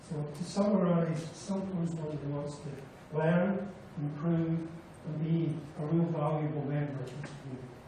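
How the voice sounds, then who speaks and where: Noticeable background noise and audible room echo accompany a man whose intonation is fairly even. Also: fairly high pitch for a man, moderate pace. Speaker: refinery plant manager. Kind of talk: public hearing presentation. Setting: public hearing with audience, microphone. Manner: formal.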